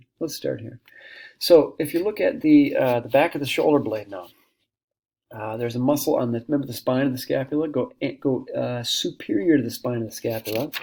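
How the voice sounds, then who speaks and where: A man's fairly quick delivery with big swings in loudness. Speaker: anatomy instructor. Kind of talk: lecture. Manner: halting, many fillers.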